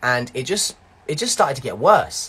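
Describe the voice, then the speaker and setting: On a very clean recording with a silent background, a man with a London accent speaks in a bright, sharp tone with very wide pitch swings. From East London. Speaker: actor and live show host. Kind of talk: personal testimony on live stream. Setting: Instagram live. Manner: repetitive, halting.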